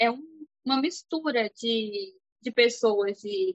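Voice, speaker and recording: A woman is speaking. Her pitch swings very widely. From Brazil. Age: 20s. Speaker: cleaning business owner. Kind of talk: casual interview chat.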